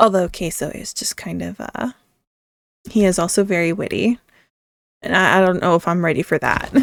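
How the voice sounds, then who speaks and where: With ordinary pitch variation and some vocal fry, the speaker moves at a moderate pace broken by long, frequent pauses, in a dry, close sound with no echo. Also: woman, fairly low pitch for a woman. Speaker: gaming YouTuber. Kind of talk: casual gameplay commentary. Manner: halting, stuttering; self-correcting mid-sentence.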